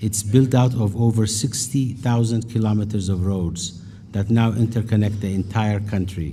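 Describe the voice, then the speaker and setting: In an Ethiopian accent, a man speaks at a moderate pace and a fairly low pitch, his intonation fairly even. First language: Amharic. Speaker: business leader. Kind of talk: keynote speech.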